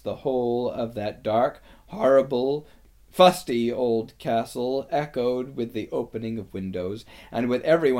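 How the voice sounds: Ordinary variation in pitch, in a natural reading voice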